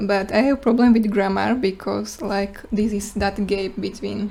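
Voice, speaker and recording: A woman speaks with a Slovak accent at a fairly slow pace. Noticeable background noise runs behind her. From Slovakia. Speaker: student presenter. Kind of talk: class presentation Q&A. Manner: halting.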